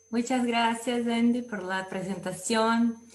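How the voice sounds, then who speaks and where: A woman with a Brazilian accent and fairly even intonation. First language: Portuguese (speaking Spanish). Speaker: food science researcher. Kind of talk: academic lecture. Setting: video call with screen sharing.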